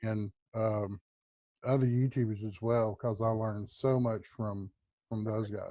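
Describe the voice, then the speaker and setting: The delivery is fairly slow, with long, frequent pauses. Intonation stays monotone and flat. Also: man, medium pitch for a man. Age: 50s. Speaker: preparedness YouTuber. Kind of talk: casual interview chat. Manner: hesitant, many fillers.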